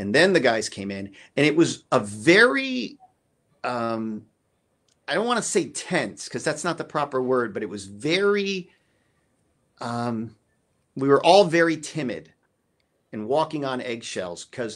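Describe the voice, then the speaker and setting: A man's voice with very wide pitch swings and long, frequent pauses, over a quiet background. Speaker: drummer; guest. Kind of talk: casual chat. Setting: video call. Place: home room. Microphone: video call.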